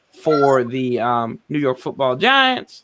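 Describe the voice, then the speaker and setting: A man with a Southern US accent at a very slow pace. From US South. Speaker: sports podcast host. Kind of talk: casual chat. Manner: animated.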